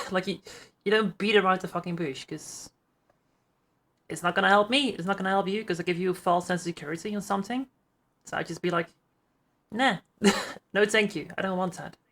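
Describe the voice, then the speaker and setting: A woman with a Dutch accent at medium pitch, very fast pace with long, frequent pauses and fairly even intonation, on a very clean recording with a silent background. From Netherlands. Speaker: streamer. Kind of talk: casual chat. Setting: live podcast call.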